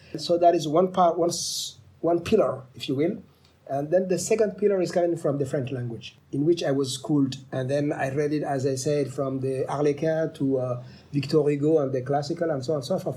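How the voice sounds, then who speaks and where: A somewhat breathy man with a Somali accent, fairly high in pitch, at a fairly quick pace with ordinary pitch variation. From Djibouti. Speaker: author and professor. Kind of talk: interview. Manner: halting.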